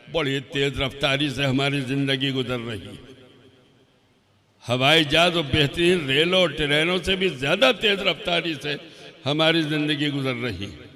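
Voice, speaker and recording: The man's fairly high voice carries audible room echo. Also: ordinary pitch variation. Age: 80s+. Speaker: Islamic scholar. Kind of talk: sermon.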